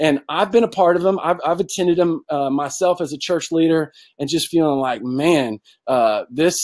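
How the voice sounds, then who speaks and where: A man with an American accent talks at a fairly quick pace with ordinary pitch variation, the sound dry and close with no echo. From US South. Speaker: church content director, webinar presenter. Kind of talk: webinar presentation. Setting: online webinar with screen share. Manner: fast.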